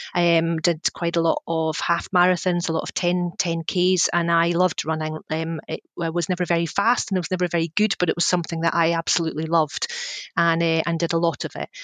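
A woman with a Scottish accent talks at a fairly quick pace in a monotone, flat delivery, the sound dry and close with no echo. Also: fairly low pitch for a woman. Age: 40s. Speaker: communications consultant. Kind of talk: interview. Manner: halting.

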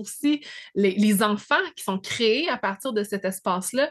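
A woman's medium-pitched voice at a moderate pace, with ordinary pitch variation against a quiet background. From Quebec, Abitibi. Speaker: astrology podcast host. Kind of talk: casual interview chat.

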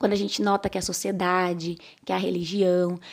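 In an ordinary speaking voice, a woman talks at medium pitch and a moderate pace. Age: 30s. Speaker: podcast host. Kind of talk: casual voice-message book discussion.

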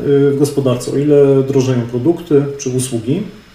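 Background noise is noticeable, and the room echoes audibly. A man talks at a fairly slow pace and fairly high pitch. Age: 30s. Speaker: real estate analyst and podcaster. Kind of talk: webinar lecture.

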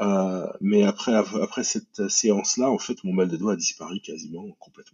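A man talks at a moderate pace, with hardly any pauses. His loudness swings a lot. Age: 40s. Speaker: software designer and product manager. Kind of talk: testimony. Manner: halting.

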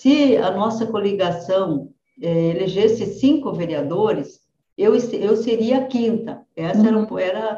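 A woman with a dark, mellow tone talks fairly slowly, her voice somewhat breathy. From southwestern Paraná, Brazil. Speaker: politician. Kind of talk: interview.

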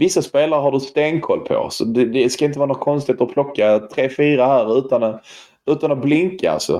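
A man with a fairly high pitch talks at a fairly quick pace, his tone dark and mellow. His pitch varies in an ordinary way, and his loudness stays very even. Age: 30s. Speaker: football podcast host. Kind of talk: casual chat. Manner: halting.

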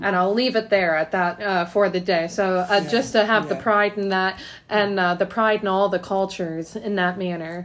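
A woman with a plain, everyday voice talks at a moderate pace and medium pitch, her intonation fairly even. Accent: American. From Ohio, Canton. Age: 30s. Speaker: podcast host. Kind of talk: casual interview chat.

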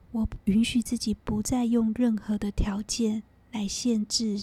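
A calm tone at a very slow pace. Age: 40s. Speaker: podcast host, energy healer. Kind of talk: guided meditation; reflective monologue.

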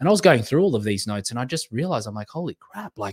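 Here a man talks at a medium pitch in an animated tone with lively intonation. The sound is dry and close, with no echo. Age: 30s. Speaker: podcast host and life coach. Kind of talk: solo podcast monologue.

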